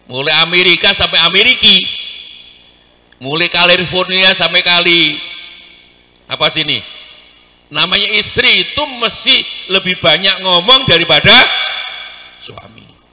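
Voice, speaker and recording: A man's animated talk at a moderate pace, with long, frequent pauses, big swings in loudness and noticeable background noise. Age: 60s. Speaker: Islamic preacher. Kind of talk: sermon.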